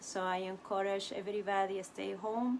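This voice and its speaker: Monotone and flat in intonation, a woman with a Spanish accent speaks at a medium pitch. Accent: non-native English, Spanish. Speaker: puppet workshop director and teaching artist. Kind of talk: live-streamed workshop talk. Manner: halting, many fillers.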